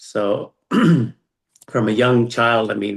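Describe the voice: Very slow and medium-pitched, a man's voice carries a slightly husky edge and vocal fry, with ordinary pitch variation.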